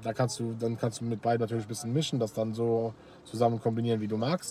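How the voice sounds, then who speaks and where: A man with a dark, mellow tone and a medium pitch speaks at a very fast pace. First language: Luxembourgish (speaking German). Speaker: battle rapper. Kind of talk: casual interview.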